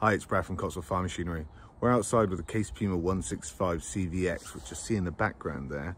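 A man speaks in an ordinary speaking voice with ordinary pitch variation. The sound is dry with no echo, over light background noise. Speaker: presenter. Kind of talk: casual vlog walk-round commentary. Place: street. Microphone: phone near.

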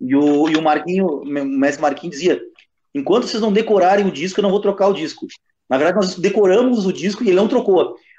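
Speaking very fast, a man with a high pitch uses lively intonation. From Rio Grande do Sul. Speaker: capoeira master, co-host; co-host. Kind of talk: casual chat. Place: home room. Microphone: video call.

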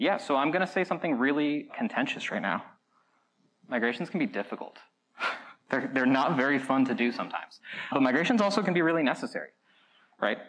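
A man races along at a very fast pace with very wide pitch swings. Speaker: conference presenter. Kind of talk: lecture. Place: hall.

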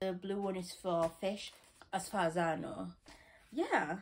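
A woman's voice at a fairly slow pace over music in the background. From West Yorkshire, England. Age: young. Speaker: student haul vlogger. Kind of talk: casual talk to camera, shopping haul. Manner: chatty, excitable. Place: home room. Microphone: phone near.

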